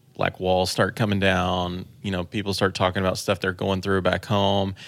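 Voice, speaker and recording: A man with an American accent speaks at a moderate pace in a very deep, low voice with flat, monotone intonation, captured in a very clean recording with a silent background. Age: 30s. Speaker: church tech director and online trainer. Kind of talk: casual chat.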